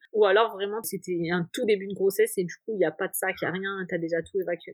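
Fairly quick speech in a dry, close sound with no echo. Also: woman. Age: 20s. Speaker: stay-at-home mother, footballer's wife. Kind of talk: personal testimony interview. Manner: animated.

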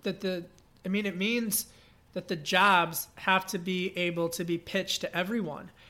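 In an American accent, a man with a high pitch speaks in a raised, projected voice with a bright, sharp tone. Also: very clean recording, silent background. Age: 30s. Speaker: journalist and policy fellow. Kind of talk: podcast interview.

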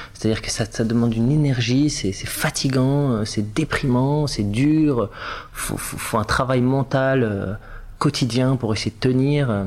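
A man's medium-pitched voice comes through at a fairly slow pace. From southern France (Var), Tunisian family. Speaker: actor. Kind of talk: casual interview. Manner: animated.

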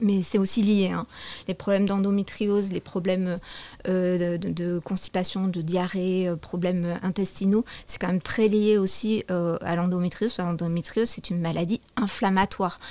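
Her voice dark and mellow, a woman of medium pitch speaks at a moderate pace in a monotone, flat intonation. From southwestern France. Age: 40s. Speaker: yoga teacher. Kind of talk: testimony.

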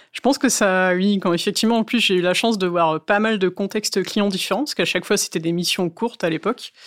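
A woman's medium-pitched voice at a very fast pace with hardly any pauses and ordinary pitch variation, in a very clean recording with a silent background. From northern France, Valenciennes. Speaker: cloud security officer. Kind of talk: interview.

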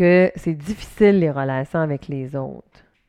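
A woman with a Quebec accent talks fairly slowly in a dark, mellow tone at a fairly low pitch. Her pitch varies in an ordinary way, and the sound is dry and close with no echo. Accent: Québécois French. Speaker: podcaster. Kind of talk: casual monologue. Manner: loud.

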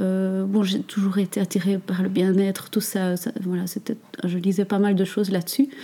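A woman's somewhat breathy, dark, mellow voice at a medium pitch. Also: very clean recording, silent background. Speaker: natural cosmetics entrepreneur. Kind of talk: interview. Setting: meeting room next to workshop. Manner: calm, gentle; halting, many hesitations.

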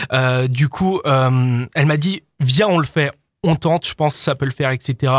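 A man with an unremarkable speaking voice, fairly high pitch and ordinary pitch variation, speaking at a fairly slow pace in a dry, close sound with no echo. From France, Isère (near Lyon). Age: 20s. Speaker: DJ and music producer. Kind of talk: radio interview.

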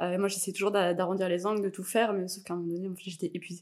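In a very clean recording with a silent background, a woman talks at a very fast pace. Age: 30s. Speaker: podcast guest, mother. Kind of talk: casual interview chat.

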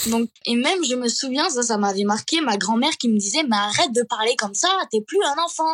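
Recorded dry and close with no echo, a woman speaks in a high pitch at a moderate pace. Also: hardly any pauses, very even loudness. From Catalonia. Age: 20s. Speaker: social media creator. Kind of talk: interview. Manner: halting.

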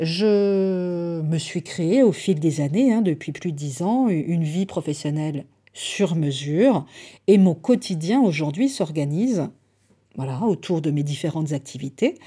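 In a very clean recording with a silent background, a woman with a fairly low pitch and a dark, mellow tone speaks at a very slow pace. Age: 40s. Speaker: podcast host and time-management coach. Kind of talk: solo podcast monologue. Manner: hesitant, with repeated words.

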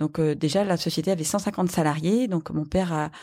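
A woman's very deep, low voice, dark and mellow in tone with ordinary pitch variation, comes through on a very clean recording with a silent background. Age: 40s. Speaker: company CEO. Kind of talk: interview.

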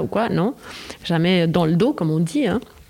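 A woman talks with a fairly low pitch. Noticeable background noise runs under her voice. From Switzerland. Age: 50s. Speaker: actress. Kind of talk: casual chat.

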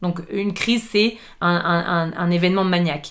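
A normal speaking voice from a woman, fairly low in pitch, with fairly even intonation at a moderate pace. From Paris suburbs, France. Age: 30s. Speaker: chef and entrepreneur. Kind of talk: casual interview.

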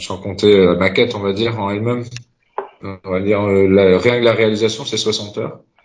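The man's voice sits fairly low, with monotone, flat intonation. Audible room echo surrounds it. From Concarneau, Finistère, Brittany. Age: 30s. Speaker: supporters' group president. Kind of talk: casual chat. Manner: halting.

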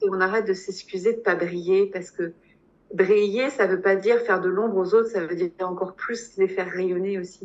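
Here a woman talks at a fairly quick pace. Her pitch sits in the medium range. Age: 40s. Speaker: hypnotherapist. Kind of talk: testimony. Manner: halting.

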